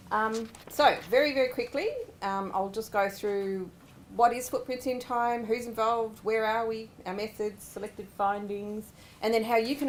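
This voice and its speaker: A woman with an Australian accent talks at a fairly high pitch with ordinary pitch variation. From Australia, Sydney (Ku-ring-gai). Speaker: government researcher. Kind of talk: research presentation. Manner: fast; animated.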